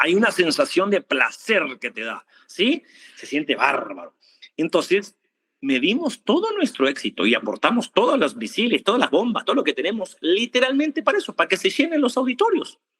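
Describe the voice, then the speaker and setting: This man's voice sits at an extremely high pitch. It swings very widely up and down. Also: moderate pace, dry, close sound with no echo. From Argentina. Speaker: preacher. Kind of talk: sermon. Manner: animated.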